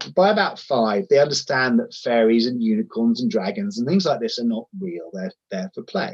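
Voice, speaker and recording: A man with a southern English accent speaks at a medium pitch and moderate pace, with very wide pitch swings and hardly any pauses, in a dry, close sound with no echo. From southern England, Sussex. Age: 50s. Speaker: charity chief executive. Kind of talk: interview.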